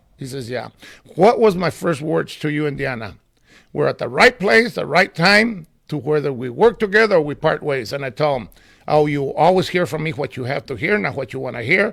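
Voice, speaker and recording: Pitch swings very widely in this fairly quick American-accented delivery, with vocal fry over a very clean recording and a silent background. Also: man, fairly high pitch for a man. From California. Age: 70s. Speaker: community volunteer and former city commissioner. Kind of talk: casual interview. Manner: animated.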